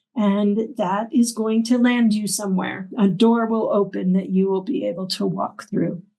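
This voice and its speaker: This woman's medium-pitched voice is somewhat breathy, with a dark, mellow tone. She talks at a moderate pace with fairly even intonation and hardly any pauses. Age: 60s. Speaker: arts center director and opera teacher. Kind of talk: interview conversation.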